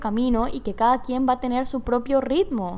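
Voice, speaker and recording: Her pitch sits high for a woman. She speaks at a moderate pace. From Panama. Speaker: podcast host. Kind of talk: casual monologue. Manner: animated. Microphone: large microphone close by.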